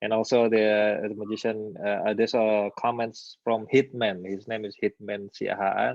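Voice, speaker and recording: A man's fairly low voice in an Indonesian accent, monotone and flat, at a moderate pace with hardly any pauses. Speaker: magician, channel host. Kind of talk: live stream interview. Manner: halting.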